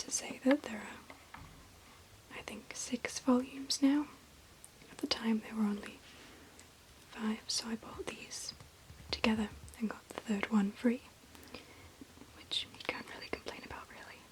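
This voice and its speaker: Whispering at a fairly slow pace with long, frequent pauses amid noticeable background noise. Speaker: ASMR creator. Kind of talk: ASMR show-and-tell of manga books. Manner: whispered.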